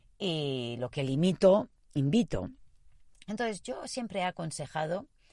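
Against a quiet background, a woman's warm, dark, mellow voice shows vocal fry and very wide pitch swings. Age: 50s. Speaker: podcast host and personal coach. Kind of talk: motivational monologue. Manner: hesitant.

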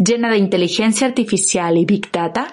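A woman of medium pitch at a moderate pace, with ordinary pitch variation. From Mexico. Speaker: podcast host and narrator. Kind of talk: scripted narration.

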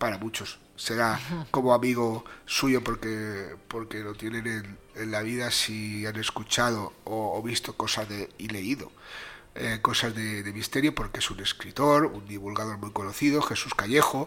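With noticeable background noise behind him, a man of fairly low pitch speaks at a fairly slow pace and with fairly even intonation. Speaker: podcast co-host. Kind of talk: casual chat.

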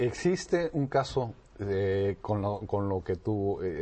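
A man's fairly low, somewhat breathy voice moves through very wide pitch swings. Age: 40s. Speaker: business ethics expert. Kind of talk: talk show interview.

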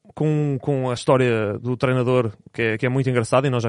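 Talking at a very fast pace, a man with a European Portuguese accent keeps a medium pitch. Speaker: football podcast host. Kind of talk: casual football chat. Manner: animated.

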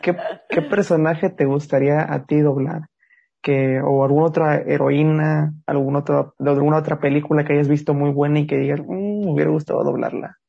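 There's a somewhat breathy quality to this man's fairly high-pitched voice, and his intonation is fairly even. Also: moderate pace. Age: young. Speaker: podcast host. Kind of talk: casual interview. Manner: halting, repeats words.

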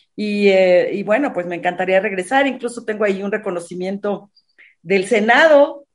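With an ordinary speaking voice, this woman talks at a moderate pace, her medium pitch showing ordinary pitch variation. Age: 50s. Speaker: sexologist. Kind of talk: interview.

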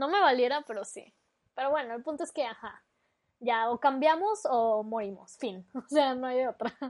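Against a quiet background, a woman with a high pitch and lively intonation speaks at a moderate pace, her loudness swinging widely. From northern Mexico, Torreón. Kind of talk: casual chat.

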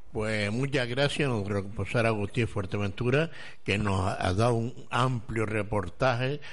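Speaking at a fairly slow pace, a man with a medium pitch and ordinary pitch variation is heard with audible room echo. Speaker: radio host. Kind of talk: casual chat.

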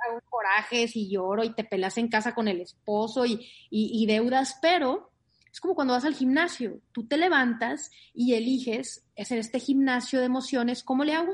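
Over a quiet background, a woman speaks at a high pitch and moderate pace with ordinary pitch variation. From Monterrey, northern Mexico. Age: 30s. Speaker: author and life coach. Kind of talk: interview.

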